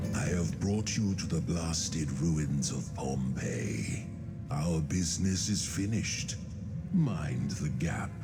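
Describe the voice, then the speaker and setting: Loud background noise sits behind a man doing a put-on character voice, very deep and low in pitch, at a fairly slow pace. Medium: machinima. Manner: terse, solemn.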